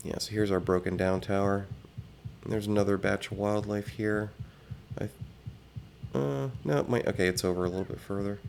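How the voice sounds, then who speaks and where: A soft-spoken man talks at a fairly quick pace with long, frequent pauses. His pitch is fairly low and varies in an ordinary way. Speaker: gaming video creator. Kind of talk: game tour commentary. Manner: halting.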